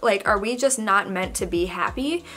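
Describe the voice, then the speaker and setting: At a medium tempo, a woman talks with lively intonation. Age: 20s. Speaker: YouTuber. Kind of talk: casual Q&A vlog. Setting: home, dog in background. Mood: chatty, open, reflective. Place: home room.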